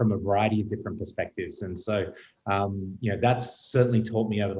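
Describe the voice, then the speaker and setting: The voice is somewhat breathy with a dark, mellow tone, moving at a very fast pace with ordinary pitch variation. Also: man. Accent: Australian. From Australia. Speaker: retail executive. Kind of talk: panel discussion.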